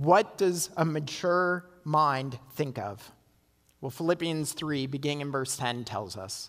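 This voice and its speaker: In a very clean recording with a silent background, a man with a normal speaking voice talks at a fairly slow pace, his pitch fairly high with ordinary pitch variation. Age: 40s. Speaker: pastor. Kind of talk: sermon. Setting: church.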